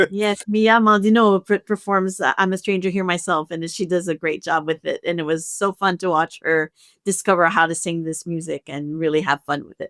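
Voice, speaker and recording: Delivered in a French Canadian accent at a fairly quick pace, the speech has hardly any pauses and big swings in loudness. The sound is dry and close, with no echo. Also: woman, fairly low pitch for a woman, fairly even intonation, very clean recording, silent background. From Canada, French-speaking. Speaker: opera music director and pianist. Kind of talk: podcast conversation.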